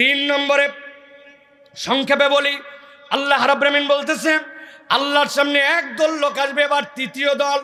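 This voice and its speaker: A man uses a raised, projected voice at an extremely high pitch, keeping his loudness very even. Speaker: Islamic preacher. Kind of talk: sermon. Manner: animated.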